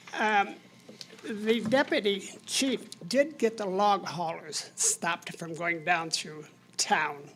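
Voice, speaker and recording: At a very slow pace, a woman with an American accent speaks at a medium pitch and with lively intonation. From Michigan, US Midwest. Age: 80s+. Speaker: resident making public comment. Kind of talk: public comment at council meeting. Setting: city commission meeting room.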